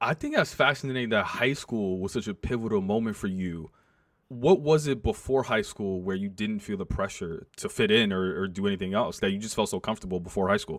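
With an American accent and a normal speaking voice, a man of fairly low pitch talks at a fairly quick pace with ordinary pitch variation in a very clean recording with a silent background. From New York City, Manhattan. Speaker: podcast host. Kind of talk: interview.

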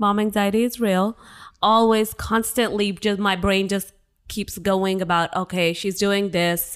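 A woman with medium pitch speaks at a fairly slow pace with monotone, flat intonation and very even loudness. The recording is very clean, with a silent background. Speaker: guest, wife and new mom. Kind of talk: casual chat, joking banter.

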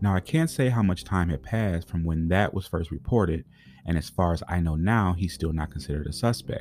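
A man's very deep, low voice in an American accent at a fairly quick pace with ordinary pitch variation, over music in the background. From Pontiac, Michigan. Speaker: true crime podcast host. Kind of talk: scripted narration.

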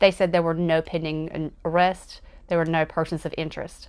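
A woman's fairly low-pitched, normal speaking voice with an American accent, at a fairly quick pace against a quiet background. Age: 30s. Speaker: true crime podcaster. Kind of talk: casual narration of a crime case.

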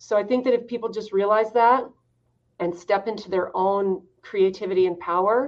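A woman with an American accent, medium pitch, an unremarkable speaking voice and a moderate pace. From US West, Idaho. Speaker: fitness business owner. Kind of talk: interview.

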